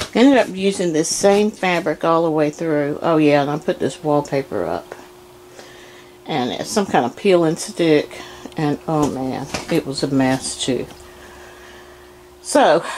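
Over light background noise, the speaker moves at a fairly slow pace with long, frequent pauses. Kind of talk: casual home tour narration. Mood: pleased, chatty. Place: home room. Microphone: phone near.

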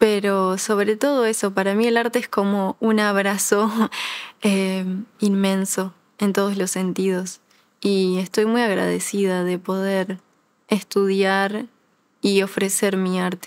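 A woman's medium-pitched voice with a Uruguayan accent, very slow and monotone with flat intonation, over a quiet background. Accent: Rioplatense Spanish (Uruguayan). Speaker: ballet dancer; interviewee. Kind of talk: interview. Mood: warm, grateful, smiling. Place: studio. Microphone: lapel.

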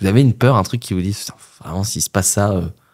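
The speaker uses lively intonation. Delivery comes at a moderate pace. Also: man. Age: late 20s. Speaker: podcast host. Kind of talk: casual interview. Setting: studio.

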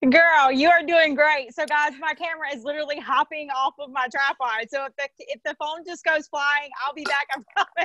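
A woman with a Southern US accent, high-pitched, raised and projected, big swings in loudness, moderate pace and hardly any pauses, in a quiet background with a dry sound and no echo. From US South, south Mississippi. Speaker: network marketing affiliate. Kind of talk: sales pitch. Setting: livestream from phone on tripod. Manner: animated. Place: home room. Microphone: earbuds.

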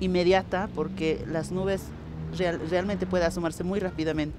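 Amid noticeable background noise, a woman with vocal fry speaks at a moderate pace and fairly low pitch in a dry sound with no echo. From Bolivia, Andean highlands (Cacachaca community); Bolivia. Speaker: interviewee. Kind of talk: interview, cultural explanation. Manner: measured, with frequent repetitions and fillers. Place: street.

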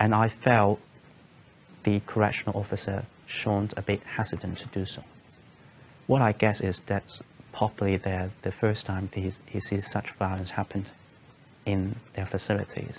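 Over light background noise, a man with a Cantonese accent talks at a moderate pace in a fairly low, monotone, flat voice, with long, frequent pauses. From Hong Kong. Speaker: former consulate staff, detainee; interviewee. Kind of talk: testimony. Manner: halting, many fillers and repetitions. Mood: calm, serious, reflective. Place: studio.

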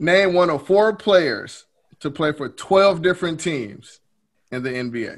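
A man with a high voice speaks very slowly and with lively intonation against a quiet background. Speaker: trivia quizmaster and podcast host. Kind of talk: casual game-show style chat. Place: home room.

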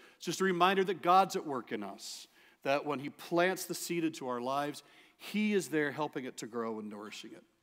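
The background stays quiet. Against it, a man talks fairly quickly. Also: big swings in loudness. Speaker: preacher. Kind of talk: sermon. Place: church.

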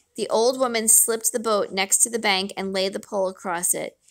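The delivery is an unforced reading voice.

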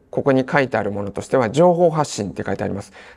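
The man's dark, mellow tone moves through very wide pitch swings. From Tsuchiura, Ibaraki, Japan. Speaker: seminar instructor, marketing consultant. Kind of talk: seminar lecture. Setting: seminar room with audience. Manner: filler-heavy, polite, formal.

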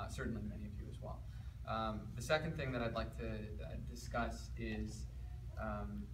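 A man's very deep, low voice in a flat monotone, with noticeable background noise. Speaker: speaker. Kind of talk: talk to a seated audience. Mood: warm, reflective. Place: hall. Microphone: camera far.

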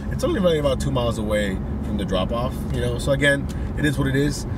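Through loud background noise, a man talks at a very fast pace in a dry sound with no echo. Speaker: delivery driver vlogger. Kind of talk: casual vlog chat. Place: car. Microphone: phone near.

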